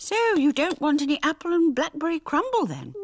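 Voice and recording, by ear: Female-sounding and high-pitched, this cartoonish character voice moves at a fairly quick pace.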